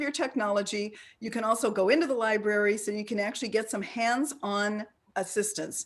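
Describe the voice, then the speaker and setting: A woman speaks at a very fast pace. Her pitch is fairly high. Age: 60s. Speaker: ageism expert and presenter. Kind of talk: interactive online talk. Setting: video call.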